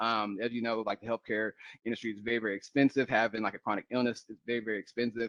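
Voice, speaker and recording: Against a quiet background, a man with an American accent speaks at medium pitch in a monotone, flat intonation. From Oklahoma. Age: 30s. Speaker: corporate presenter. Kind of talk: workshop presentation.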